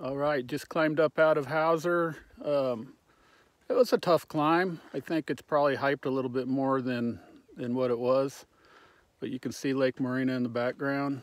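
A man at a moderate pace with fairly even intonation, in a dry sound with no echo over a quiet background. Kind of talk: casual vlog chat. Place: open country. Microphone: phone near.

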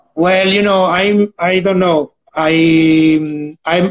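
His voice sits high in pitch for a man. The intonation of this male speaker is fairly even. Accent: Italian. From Italy. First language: Italian. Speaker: digital artist; interviewee. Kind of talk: live-streamed interview. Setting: Instagram live video call. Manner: halting. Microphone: video call.

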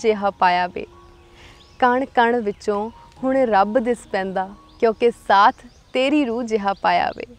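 Music plays behind a woman whose pitch is fairly high. The sound is dry and close, with no echo. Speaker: poet. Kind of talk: poetry reading.

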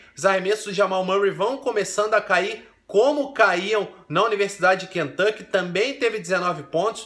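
With noticeable background noise behind him, a man with a Brazilian accent speaks at a high pitch and a moderate pace. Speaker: basketball commentator. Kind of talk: sports recap commentary. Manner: animated.

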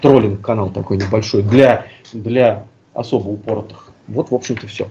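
A man's medium-pitched voice over light background noise. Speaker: co-host of a live stream. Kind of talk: live stream discussion. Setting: video call. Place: home room. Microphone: headset.

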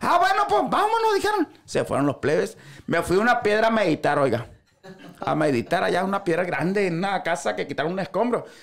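In a Sinaloan accent, a man talks at a fairly quick pace with an animated tone. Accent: Sinaloan Mexican Spanish. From Sinaloa, Mexico. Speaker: social media comedian. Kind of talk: casual chat. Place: studio. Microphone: studio mic.

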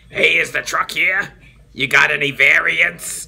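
The speech goes at a fairly slow pace. It is a put-on character voice.

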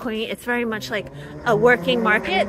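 At a moderate pace, a woman talks with a dry sound with no echo over noticeable background noise. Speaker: cooking vlogger. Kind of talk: casual vlog chat. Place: street. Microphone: phone near.

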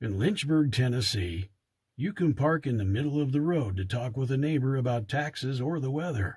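A somewhat breathy man with an American accent, lively intonation and a moderate pace, against a quiet background. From Idaho, USA. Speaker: voice actor. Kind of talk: TV commercial read. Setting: home studio. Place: booth. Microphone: studio mic.

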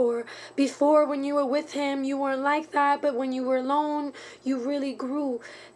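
A woman's high-pitched voice at a moderate pace. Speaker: vlogger giving advice. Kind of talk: casual vlog chat. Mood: earnest, caring. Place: home room. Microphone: webcam.

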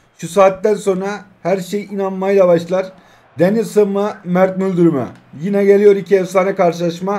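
This man talks at a fairly slow pace with a high pitch. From Turkey. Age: 20s. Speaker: mobile gaming YouTuber; mobile game streamer. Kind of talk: gameplay live commentary. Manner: animated. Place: home room.

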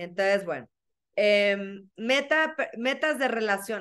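Against a quiet background, a woman speaks with a bright, sharp tone and lively intonation. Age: 40s. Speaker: workshop facilitator, life coach. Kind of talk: workshop talk. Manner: animated. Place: home room. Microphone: webcam.

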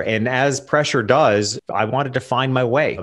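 Over a quiet background, a man speaks at a medium pitch with ordinary pitch variation. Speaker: portrait photographer and business coach; business coach. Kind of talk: interview conversation. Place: home room. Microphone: studio mic.

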